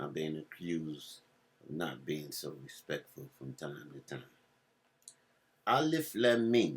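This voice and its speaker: A man's voice with an American accent and vocal fry. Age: 70s. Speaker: religious speaker. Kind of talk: religious talk.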